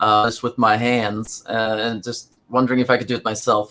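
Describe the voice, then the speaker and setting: A man with a Norwegian accent at medium pitch, moderate pace and monotone, flat intonation. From Norway. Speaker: rock musician. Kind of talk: interview. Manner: halting, many fillers.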